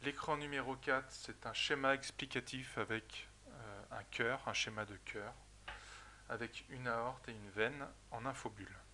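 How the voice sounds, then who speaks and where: A medium-pitched man with a bright, sharp tone and vocal fry, fairly slow and fairly even in intonation, with big swings in loudness. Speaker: software trainer. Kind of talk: tutorial.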